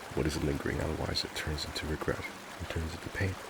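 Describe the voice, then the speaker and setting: Against noticeable background noise, a man talks at a fairly quick pace in a very deep, low voice with monotone, flat intonation. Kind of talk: reflective heart-to-heart talk about mental health and life. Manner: gentle, sincere, reassuring.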